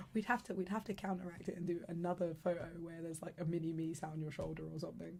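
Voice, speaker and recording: A woman at a fairly low pitch with vocal fry, very fast, with hardly any pauses and fairly even intonation. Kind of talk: casual conversation in a two-person podcast, ASMR-style chat.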